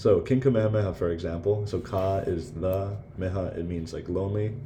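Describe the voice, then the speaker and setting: In a room with audible echo, a man with a very deep, low pitch speaks fairly quickly with fairly even intonation. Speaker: student giving class presentation. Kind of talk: recorded class presentation. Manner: halting, many fillers; hurried.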